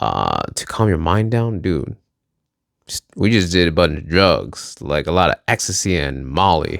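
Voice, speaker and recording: A man with an American accent, very deep and low, with vocal fry, lively intonation and a fairly slow pace. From Minnesota. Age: 30s. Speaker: vlogger. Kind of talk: casual monologue vlog. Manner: rambling with many fillers.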